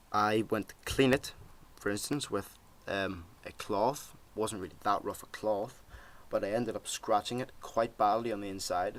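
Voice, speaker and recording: A man speaks with a Northern Irish accent. His fairly low pitch shows ordinary pitch variation. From Northern Ireland. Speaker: tech product reviewer. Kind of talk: product review, casual vlog. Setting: home desk, webcam recording. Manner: casual, many fillers. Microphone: laptop webcam recording.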